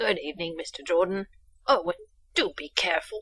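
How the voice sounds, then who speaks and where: A woman puts on a raspy character voice at a medium pitch, talking at a fairly quick pace. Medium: game stream. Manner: proper, dry.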